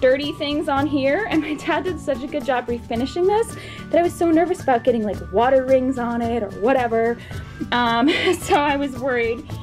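Clear music plays in the background. A woman with a high pitch speaks at a fairly quick pace. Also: ordinary pitch variation. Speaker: expectant mother vlogger. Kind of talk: casual vlog chat. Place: home room. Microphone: phone near.

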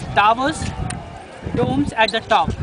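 A man with an Indian accent talks at a moderate pace. The sound is dry with no echo, and crowd noise runs in the background. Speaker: tour guide. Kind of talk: guided tour narration explaining history at a monument. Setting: outdoors at the Taj Mahal site. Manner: explanatory, storytelling, somewhat halting with repetitions. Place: garden. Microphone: phone near.

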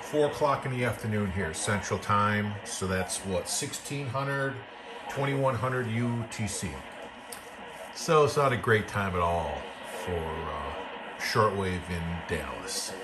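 Over noticeable background noise, a man with a fairly low voice speaks at a very slow pace. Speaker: radio hobbyist. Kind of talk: casual review vlog. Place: home room.

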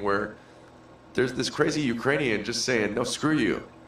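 The speaker keeps a moderate pace with ordinary pitch variation. Noticeable background noise can be heard. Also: man. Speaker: podcast co-host. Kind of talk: casual chat. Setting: studio.

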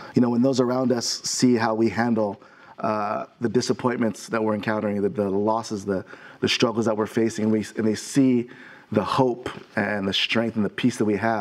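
Flat, monotone intonation runs through this voice at a fairly quick pace. The background stays quiet. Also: man. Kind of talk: devotional encouragement talk. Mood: warm, consoling. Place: studio. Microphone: lapel.

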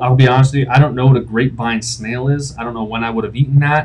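Somewhat breathy, a man speaks. His intonation stays fairly even. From Pittsburgh, Pennsylvania. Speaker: functional medicine doctor; doctor reviewing his own test. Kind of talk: casual video explainer. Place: home room. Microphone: webcam.

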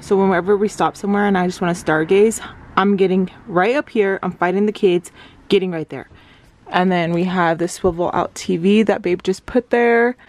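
The pace is moderate. The intonation stays fairly even. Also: woman, dry sound with no echo. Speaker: vlogger. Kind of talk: casual vlog chat. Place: home room. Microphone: phone near.

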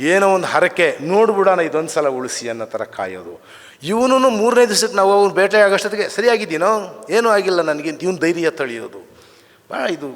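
A man speaks high in pitch, his intonation lively. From Karnataka, semi-urban workers' colony. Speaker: writer and scholar. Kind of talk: memorial speech. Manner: halting.

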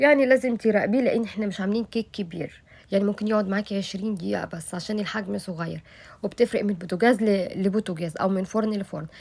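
Speaking at a very fast pace with an Egyptian accent, a woman sounds somewhat breathy, her pitch varying in an ordinary way. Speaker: cooking YouTuber. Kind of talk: cooking tutorial. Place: kitchen.

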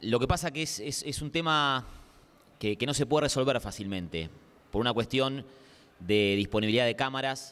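His pace is moderate. A man talks with a medium pitch. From Argentina, Quilmes; Argentina. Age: 30s. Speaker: sports journalist. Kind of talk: panel discussion. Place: hall. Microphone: handheld.

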